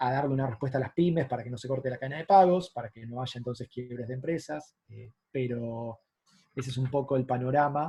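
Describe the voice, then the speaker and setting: A man with an Argentine accent keeps fairly even intonation while his loudness swings widely. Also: medium pitch for a man, fairly quick pace. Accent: Argentine Spanish (Rioplatense). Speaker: economist. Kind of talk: lecture. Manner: fast.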